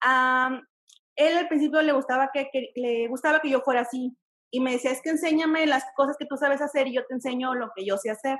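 The woman's pitch is high, and her intonation stays fairly even. She speaks at a fairly quick pace. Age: 30s. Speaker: caller. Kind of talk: call-in advice.

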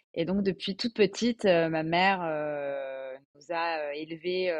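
A woman speaks in a normal speaking voice, her fairly low pitch moving with ordinary variation. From Alsace, France. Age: 20s. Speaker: podcast guest, bilingual French-German. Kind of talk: casual interview.

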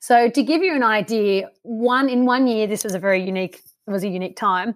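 With an Australian accent, a woman at a fairly high pitch talks at a fairly quick pace with ordinary pitch variation. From Canberra area, Australia. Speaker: wildlife scientist. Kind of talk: casual interview.

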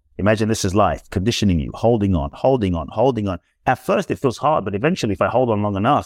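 A man talks at a very fast pace in a fairly low pitch. The sound is dry and close with no echo, over a quiet background. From London, England. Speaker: inspirational speaker and author. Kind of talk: interview. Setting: podcast interview.

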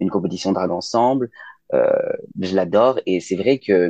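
The sound is dry and close, with no echo. A man's voice is heard. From Lyon, France (raised partly abroad, incl. China). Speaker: drag queen. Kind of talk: casual chat.

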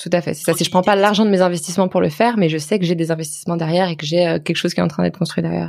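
A woman talks very fast in a fairly low pitch. Her voice carries vocal fry. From France, Lyon. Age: 20s. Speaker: personal finance blogger. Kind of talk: casual interview.

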